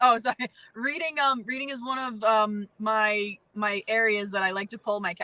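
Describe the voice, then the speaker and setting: With an American accent, a woman speaks at a fairly high pitch with ordinary pitch variation and a plain, everyday voice. The sound is dry and close, with no echo. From Massachusetts. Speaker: professional wrestler. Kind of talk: casual interview chat.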